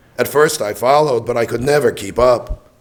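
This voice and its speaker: In a raspy, put-on character voice, a man talks at a fairly quick pace with medium pitch and fairly even intonation. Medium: stage play.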